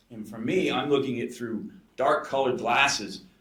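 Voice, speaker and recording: In an American accent, a man talks at a fairly quick pace with ordinary pitch variation, and the room echo is audible. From United States. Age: 60s. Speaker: coaching client, skydiver. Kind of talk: podcast interview, personal testimony.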